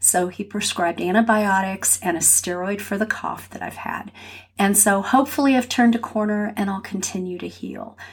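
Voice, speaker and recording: Calm and soothing in tone, a woman speaks with an American accent at a medium pitch. Her voice is somewhat breathy, with fairly even intonation at a moderate pace. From California. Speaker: podcast host and grief guide. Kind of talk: solo podcast monologue. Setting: home office. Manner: calm, soothing.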